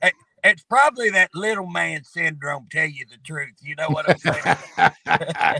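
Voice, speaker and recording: A man's gruff voice comes through. The sound is dry and close, with no echo. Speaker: state representative. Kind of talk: casual chat. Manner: tough, gruff; halting.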